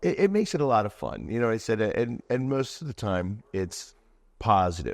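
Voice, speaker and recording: Against a quiet background, a man with a Philadelphia accent speaks with lively intonation. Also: moderate pace. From Delaware County, Pennsylvania (Philadelphia area). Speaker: sports superfan and anti-bullying speaker. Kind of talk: podcast interview.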